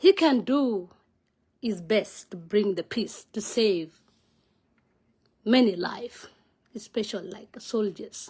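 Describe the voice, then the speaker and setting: A woman with a fairly high pitch and a somewhat breathy voice speaks at a very slow pace. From South Sudan. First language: Nuer. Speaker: vlogger, political commentator. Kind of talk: casual monologue vlog on politics. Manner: halting, non-fluent English with fillers.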